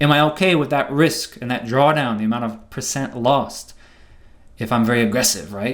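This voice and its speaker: With music playing in the background, a man speaks with ordinary pitch variation. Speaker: trading educator. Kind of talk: seminar lecture. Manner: fast.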